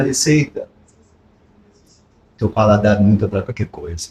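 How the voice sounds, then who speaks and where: The man's voice comes across somewhat breathy as he talks at a moderate pace. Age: 60s. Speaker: sales motivation speaker. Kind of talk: podcast interview. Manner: animated.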